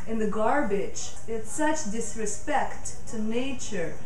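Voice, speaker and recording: With audible room echo and light background noise, a woman talks at a very slow pace with ordinary pitch variation. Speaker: yoga teacher. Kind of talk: casual talk during yoga class. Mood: warm, earnest about nature. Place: home room.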